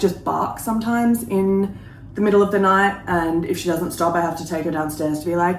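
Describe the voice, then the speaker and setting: Very fast speech in an Australian accent, with audible room echo. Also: woman. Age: 30s. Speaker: lifestyle vlogger. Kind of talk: casual vlog chat. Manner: chatty, casual.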